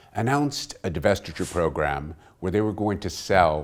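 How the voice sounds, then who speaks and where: The very clean recording, with a silent background, captures a man speaking at a fairly slow pace. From Texas. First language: Portuguese. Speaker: oil company executive. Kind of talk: business interview.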